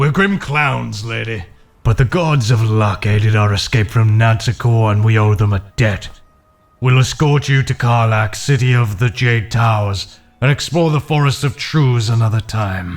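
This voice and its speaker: A man of medium pitch at a moderate pace, with music in the background. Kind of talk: fantasy audiobook narration. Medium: read story.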